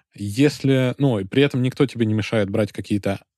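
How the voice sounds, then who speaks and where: The recording is very clean and the background silent. In a dark, mellow tone, a man speaks at a fairly quick pace. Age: young. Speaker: lawyer and podcast host. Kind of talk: casual discussion.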